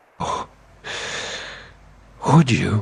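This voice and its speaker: A man speaks here. He uses a put-on character voice. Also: fairly high pitch for a man. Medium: video game. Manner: dithering, bureaucratic.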